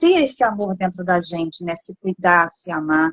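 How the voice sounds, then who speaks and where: The voice belongs to a woman. Her pitch rises and falls across a very wide range. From Brazil, Rio de Janeiro. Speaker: interviewer. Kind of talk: interview.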